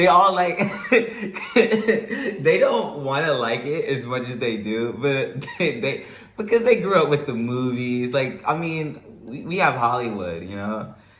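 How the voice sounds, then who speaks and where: A man with an American accent speaks fairly slowly in a fairly high pitch, with very wide pitch swings. Room echo is audible, and there is noticeable background noise. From United States. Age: 20s. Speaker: traveler. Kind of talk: casual chat.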